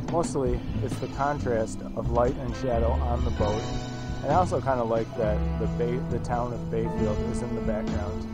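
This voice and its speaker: A man talks at a moderate pace over loud background music, the sound dry with no echo. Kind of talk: casual vlog chat. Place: waterside. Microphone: phone near.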